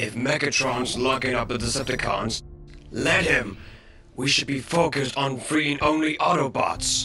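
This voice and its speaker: A man at medium pitch performs a put-on character voice at a moderate pace. Clear music plays in the background. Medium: fan dub. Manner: worried, blunt.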